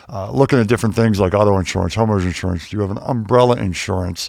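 An unremarkable speaking voice from a man with an American accent, fairly low in pitch, with fairly even intonation. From Pittsburgh, Pennsylvania. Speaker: wealth manager, former pro basketball player. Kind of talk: casual interview. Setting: studio.

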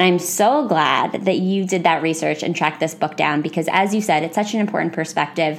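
A woman with an American accent speaks at a fairly low pitch with ordinary pitch variation and hardly any pauses, against noticeable background noise. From United States. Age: 20s. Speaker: podcast host. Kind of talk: casual chat.

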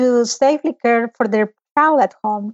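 This woman has a high-pitched voice. She speaks with a Spanish accent. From El Salvador. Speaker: pediatric oncologist. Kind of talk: interview conversation.

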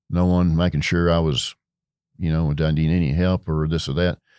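A man with a West Texas accent speaks in a very deep, low voice with a dark, mellow tone and fairly even intonation, on a very clean recording with a silent background. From Texas Panhandle. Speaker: retired beverage distribution executive. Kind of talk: interview. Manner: halting, many fillers.

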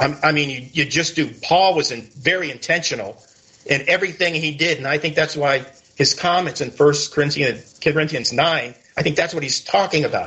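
With an American accent, a man speaks at a moderate pace and a fairly high pitch, with ordinary pitch variation, in a normal speaking voice. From Connecticut. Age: 60s. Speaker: biker ministry author and content creator. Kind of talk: interview.

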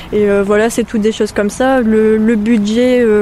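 Over noticeable background noise, a woman talks in a flat monotone at a fairly high pitch. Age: 20s. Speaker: feminist collage activist. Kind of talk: reportage interview.

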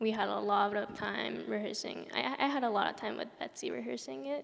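A woman is speaking. She has a Japanese accent. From Japan, then Southern California from age 13. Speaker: ballet dancer. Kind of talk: interview before a live audience. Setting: stage with audience in an opera house.

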